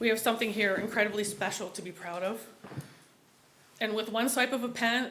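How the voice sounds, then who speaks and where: A woman talks at a fairly quick pace and fairly high pitch. Her pitch variation is ordinary, and there is audible room echo. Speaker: resident giving public comment. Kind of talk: public comment at city meeting. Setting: public meeting hall. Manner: impassioned.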